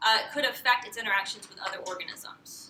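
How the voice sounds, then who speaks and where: A woman keeps a fairly quick pace while audible room echo surrounds her speech. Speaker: PhD candidate. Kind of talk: lecture. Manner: loud; halting, many fillers.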